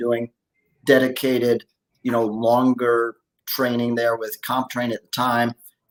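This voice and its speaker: A man with a normal speaking voice talks at a moderate pace and a medium pitch. The sound is dry and close, with no echo. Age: 60s. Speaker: masters fitness athlete and coach. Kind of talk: podcast interview.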